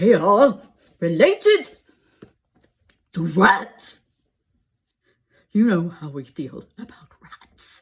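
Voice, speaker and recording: In a put-on character voice, a woman speaks at a medium pitch with a stern tone. She goes very slowly, with long, frequent pauses. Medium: read story. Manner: stern, commanding.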